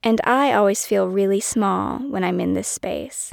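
A woman speaks at a moderate pace. The recording is very clean, with a silent background and a dry, close sound free of echo. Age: 30s. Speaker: podcast host and author. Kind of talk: solo personal monologue.

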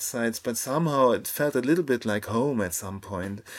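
A man speaks with a German accent and ordinary pitch variation. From Germany. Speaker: photographer. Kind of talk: casual chat. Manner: calm.

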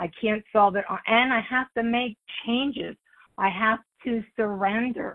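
A fairly high-pitched woman speaking at a fairly slow pace with ordinary pitch variation. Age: 60s. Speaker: recovery meeting speaker. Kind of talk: testimony. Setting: phone call.

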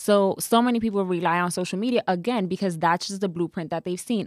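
A woman with a plain, everyday voice and an American accent speaks at a medium pitch with ordinary pitch variation, on a very clean recording with a silent background and a dry, close sound with no echo. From New York City, the Bronx. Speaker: marketing consultant. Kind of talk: casual interview. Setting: studio.

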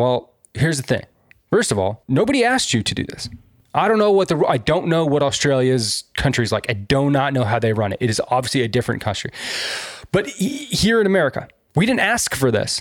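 A man's animated voice, fairly high-pitched, at a fairly quick pace with very wide pitch swings. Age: 30s. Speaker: podcast co-host. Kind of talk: casual chat.

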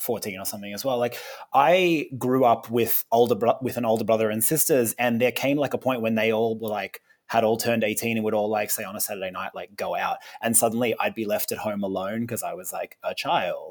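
With an Australian accent, the speaker talks at a fairly quick pace. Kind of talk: casual chat.

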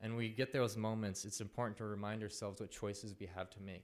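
An unremarkable speaking voice at a moderate pace in a very clean recording with a silent background. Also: man. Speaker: storyteller. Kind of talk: live personal storytelling. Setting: stage with audience.

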